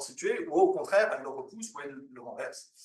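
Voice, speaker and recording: Audible room echo surrounds the voice. A man speaks at a fairly quick pace. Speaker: academic researcher. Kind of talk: conference presentation. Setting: conference with audience. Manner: fast; halting, many fillers.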